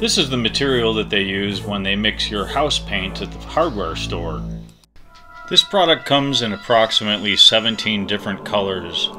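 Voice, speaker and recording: Music playing behind a man's moderately paced speech. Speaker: miniature terrain crafter. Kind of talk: crafting tutorial narration. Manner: playful, mock-dramatic.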